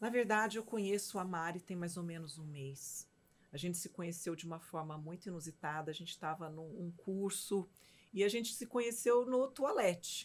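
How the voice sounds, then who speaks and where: Woman with a plain, everyday voice, fairly low pitch, lively intonation and big swings in loudness, at a moderate pace. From Minas Gerais, Brazil. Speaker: physician and mentor, show host. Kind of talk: casual chat.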